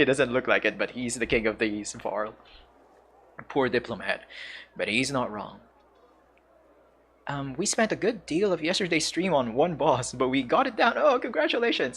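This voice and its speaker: A man speaks at a moderate pace in a fairly high voice. His pitch swings very widely, broken by long, frequent pauses. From Philippines. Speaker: gaming streamer. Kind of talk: live gameplay commentary. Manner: halting.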